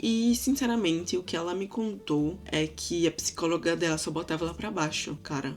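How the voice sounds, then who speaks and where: A woman with a fairly low voice speaks at a moderate pace. Her tone is animated and her intonation lively. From Brazil, Recife. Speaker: vlogger. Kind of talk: casual vlog storytelling.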